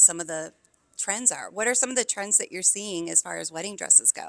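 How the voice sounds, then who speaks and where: A woman with an American accent, medium in pitch, with ordinary pitch variation. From upstate New York. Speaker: podcast host. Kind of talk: interview. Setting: on location at event venue.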